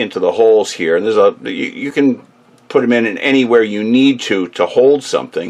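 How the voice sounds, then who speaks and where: Noticeable background noise runs behind a man who speaks at a fairly quick pace. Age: 60s. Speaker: tool and repair how-to video maker. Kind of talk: tutorial. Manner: casual, with many fillers.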